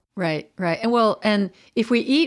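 A woman speaks in an unremarkable speaking voice with lively intonation. The recording is very clean, with a silent background. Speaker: minister and podcast host. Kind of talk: interview conversation.

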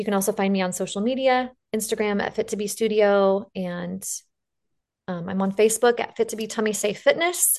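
A woman with a slight Western US accent, fairly high in pitch with ordinary pitch variation, against a quiet background. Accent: slight western US drawl. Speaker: fitness business founder. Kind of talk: interview.

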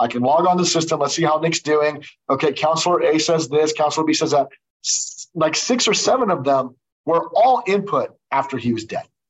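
A man talks at a fairly quick pace with lively intonation and a fairly high pitch. He has a normal speaking voice. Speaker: trial lawyer and former judge. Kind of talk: interview.

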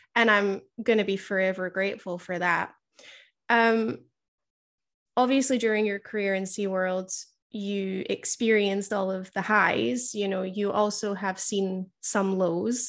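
In a quiet background, a woman with an ordinary speaking voice talks at a fairly slow pace, her medium pitch showing ordinary variation. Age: 20s. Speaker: podcast host and killer whale trainer. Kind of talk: interview.

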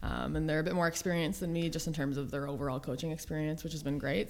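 With a Canadian accent, a woman speaks at a very fast pace in a very deep, low pitch with vocal fry. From Ontario, Canada (Almonte, near Ottawa). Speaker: university basketball coach. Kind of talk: casual interview. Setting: studio, in person.

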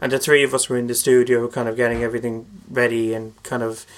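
Speaking fairly quickly in an Irish accent, a man keeps a medium pitch and a monotone, flat intonation. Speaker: singer and composer. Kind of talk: casual chat. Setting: studio.

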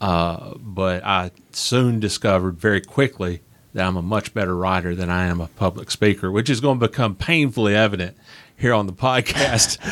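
There is a silent background in this very clean recording. A man with a fairly low voice talks at a moderate pace, his pitch varying in an ordinary way. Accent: Southern US. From Nashville, Tennessee. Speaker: author and motorsports historian. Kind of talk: interview conversation. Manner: halting, with fillers and repeats.

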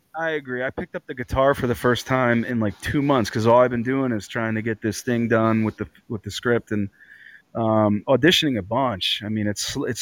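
This man has an ordinary speaking voice at medium pitch, moving at a fairly quick pace with ordinary pitch variation in a dry, close sound with no echo. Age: 40s. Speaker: actor and producer. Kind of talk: casual interview.

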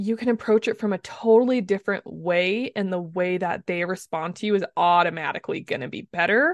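A woman with an American accent and a normal speaking voice talks at a fairly quick pace with hardly any pauses, using a medium pitch and ordinary pitch variation, in a dry, close sound with no echo and a quiet background. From US, southeastern Utah. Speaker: communications coach. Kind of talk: interview.

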